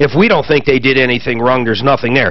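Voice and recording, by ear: There is clear background noise as a man talks at a medium pitch.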